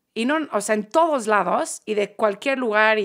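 With an English accent, a woman speaks on a very clean recording with a silent background. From Manchester, England. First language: English (speaking Spanish). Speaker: podcast guest. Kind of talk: casual chat. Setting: studio.

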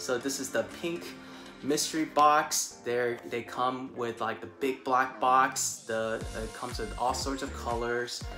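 With clear music playing in the background, a man speaks at a fairly slow pace. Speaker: unboxing vlogger. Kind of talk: casual unboxing review. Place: home room. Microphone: lapel.

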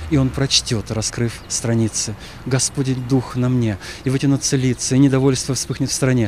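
Against noticeable background noise, a man with a medium-pitched voice speaks at a moderate pace with fairly even intonation. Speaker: Orthodox archpriest. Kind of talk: poetry reading.

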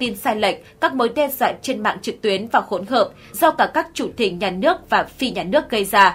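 This is an ordinary speaking voice: a woman, fairly high in pitch, talking at a moderate pace with lively intonation. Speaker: news presenter. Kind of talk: news reading.

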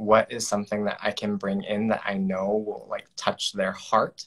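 Against a quiet background, a man with an American accent speaks at a fairly slow pace. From rural Nebraska. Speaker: storytelling coach and event emcee; storytelling coach, event emcee. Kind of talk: casual interview on video call. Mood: earnest, emotional personal story. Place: home room. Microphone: video call.

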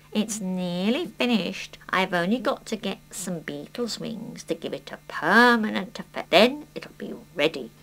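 In a cartoonish character voice, a woman talks at a moderate pace and medium pitch with hardly any pauses. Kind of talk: children's puppet play. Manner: brisk, dry, businesslike.

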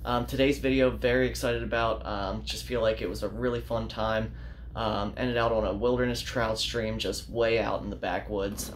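A man talks at a moderate pace. Light background noise sits behind him. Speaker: fishing channel host. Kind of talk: casual vlog chat. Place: home room. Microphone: phone near.

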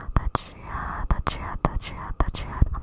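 Against loud background noise, a woman whispers softly at a moderate pace, the sound dry with no echo. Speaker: ASMR creator. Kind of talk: soft ASMR rambling chat. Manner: soft close-mic whisper into hands. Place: home room. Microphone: studio mic.

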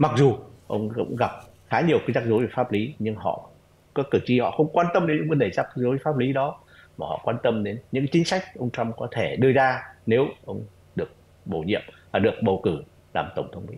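With lively intonation and vocal fry, a man talks at a fairly quick pace broken by long, frequent pauses. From Vietnam. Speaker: retired diplomat; remote guest. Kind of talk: interview analysis. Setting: online call. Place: home room. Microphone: video call.

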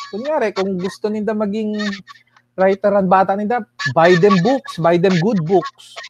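A man's high voice at a fairly slow pace, dry with no echo, over noticeable background noise. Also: ordinary pitch variation. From Milagros, Masbate, Philippines; Philippines. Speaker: writer and poet; poet. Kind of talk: radio interview. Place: home room. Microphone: earbuds.

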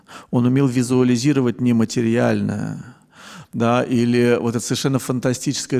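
A man with a dark, mellow tone speaks at a medium pitch and moderate pace in a monotone, flat intonation over a quiet background. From Russia, Saint Petersburg; Russia. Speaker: film scholar and writer. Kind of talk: lecture. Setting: stage with audience. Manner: hesitant fillers, discursive. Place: hall. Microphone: handheld.

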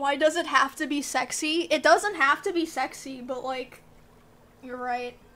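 Music plays behind a woman as she talks. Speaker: live streamer. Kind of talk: casual stream chat. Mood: playful, joking. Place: home room.

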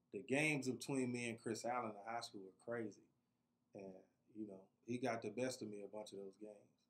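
Fairly even in intonation, a man's speech moves at a fairly quick clip. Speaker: podcast guest. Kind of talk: interview answer. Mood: relaxed reminiscing. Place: studio. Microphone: studio mic.

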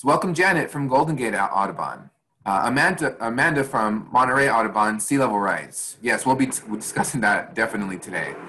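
A man with lively intonation and a bright, sharp tone, talking at a fairly quick pace. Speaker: webinar host. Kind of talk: webinar presentation. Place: home room. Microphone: video call.

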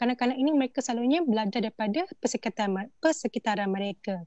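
A high-pitched woman's voice with lively intonation and a dry, close sound with no echo. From Malaysia, Selangor (Temuan Orang Asli village). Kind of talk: online panel discussion.

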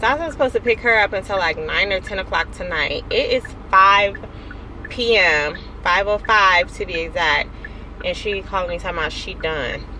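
A woman talks at a moderate pace. The sound is dry with no echo, and there is light background noise. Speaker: vlogger. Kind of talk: casual vlog chat. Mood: mildly annoyed, venting. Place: car. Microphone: phone near.

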